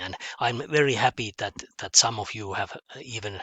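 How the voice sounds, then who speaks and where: At a very slow pace, a man with a Finnish accent speaks in a fairly low pitch. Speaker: mathematics teacher. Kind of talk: online lesson. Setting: home office. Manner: halting, many fillers and repetitions.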